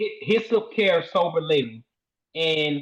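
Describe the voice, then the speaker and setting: The speaker is a man. His accent is Southern US. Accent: Southern country. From US South, Shreveport, Louisiana. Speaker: sober living home owner. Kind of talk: interview. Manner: hesitant, many fillers.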